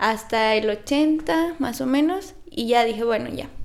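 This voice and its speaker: A woman speaks very slowly, her intonation lively. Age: 20s. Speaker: nutritionist. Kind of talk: casual interview.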